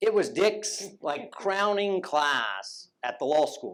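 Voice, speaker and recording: A man speaks with a Southern US accent. His intonation is lively. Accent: southern drawl. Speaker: former law student and judicial clerk. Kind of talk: tribute speech.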